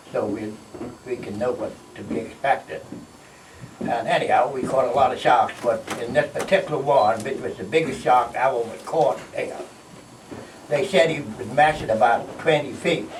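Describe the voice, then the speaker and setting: A man at a moderate pace with long, frequent pauses, amid noticeable background noise and audible room echo. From Bahamas, Green Turtle Cay. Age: 80s+. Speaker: retired fisherman. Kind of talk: storytelling talk. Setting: stage with audience. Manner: halting.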